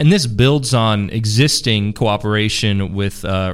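In an unremarkable speaking voice, a man with a fairly low pitch speaks with ordinary pitch variation. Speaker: podcast host and seminary administrator. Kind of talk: interview for a podcast. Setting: studio.

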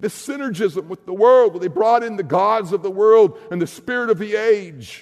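Speaking at a moderate pace with hardly any pauses, a man uses a high pitch and ordinary pitch variation. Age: 60s. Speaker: pastor. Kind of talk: sermon.

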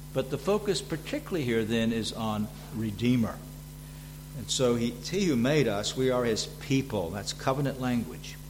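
A man with a Southern US accent talks at a moderate pace, his medium pitch showing ordinary variation, with audible room echo around him. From US South. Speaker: visiting preacher and seminary teacher. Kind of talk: sermon. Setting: church. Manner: frequent fillers and hesitations.

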